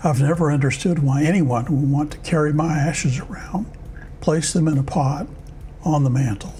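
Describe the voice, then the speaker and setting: At a moderate pace, a man speaks at a fairly high pitch, with audible room echo. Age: 70s. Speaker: former pastor. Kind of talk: personal testimony.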